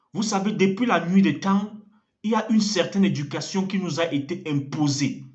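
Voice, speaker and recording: A man's high-pitched voice with lively intonation at a moderate pace, amid audible room echo. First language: an African language (speaking French). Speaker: evangelist. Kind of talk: sermon.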